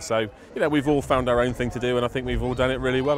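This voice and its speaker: Speech races at a very fast pace with fairly even intonation. Background noise is noticeable. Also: man. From southern England. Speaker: street party organiser, DJ. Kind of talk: interview.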